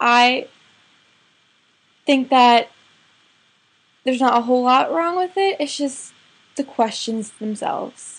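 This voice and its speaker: A woman talks at a high pitch with ordinary pitch variation. She goes very slowly, with long, frequent pauses. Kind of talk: casual talk to camera. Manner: hesitant, with stuttering and pauses.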